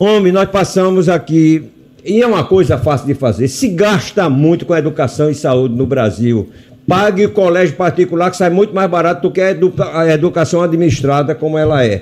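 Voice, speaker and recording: Speaking at a moderate pace, a high-pitched man uses lively intonation while keeping his loudness very even. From Brazil, Rio Grande do Norte (Natal). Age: 80s+. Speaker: physician and hospital director. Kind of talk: radio interview.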